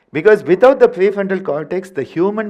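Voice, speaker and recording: This man speaks with a Tamil accent. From India, Tamil Nadu. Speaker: yoga teacher. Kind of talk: workshop lecture. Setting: workshop with live audience. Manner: animated, playful vocal sounds.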